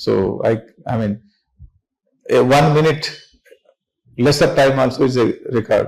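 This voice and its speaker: At a fairly slow pace, a man speaks with long, frequent pauses. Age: 60s. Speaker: business founder and chairman. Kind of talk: motivational talk to students. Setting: classroom with students.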